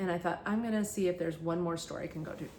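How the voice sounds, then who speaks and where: This woman has a fairly low pitch and fairly even intonation. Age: 60s. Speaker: thrift haul vlogger. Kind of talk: casual vlog monologue. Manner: halting, many fillers.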